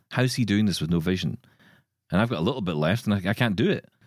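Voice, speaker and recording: A man with a Glaswegian accent at a fairly low pitch, with ordinary pitch variation, in a dry, close sound with no echo on a very clean recording with a silent background. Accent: Glaswegian Scottish. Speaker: podcast host. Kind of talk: casual chat.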